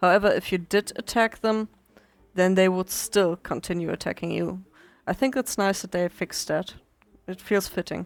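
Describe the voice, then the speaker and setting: The speaker has a non-native accent. Speech moves at a moderate pace. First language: not English. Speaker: gaming video creator. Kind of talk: let's play commentary. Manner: hesitant, many fillers.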